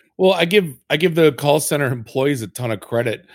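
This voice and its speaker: A man's plain, everyday voice at a fairly quick pace, with ordinary pitch variation. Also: very clean recording, silent background. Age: 40s. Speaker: podcast host. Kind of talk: casual chat. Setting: studio.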